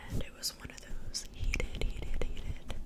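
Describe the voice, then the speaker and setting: A woman speaks over noticeable background noise. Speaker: ASMR creator. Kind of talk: casual ASMR ramble to camera. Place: home room. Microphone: studio mic.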